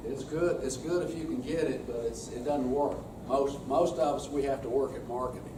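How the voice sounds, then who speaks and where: Noticeable background noise runs under this man's voice. The room echo is audible. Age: 60s. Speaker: extension specialist leading a workshop session. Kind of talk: workshop presentation. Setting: workshop room with audience. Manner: casual, folksy.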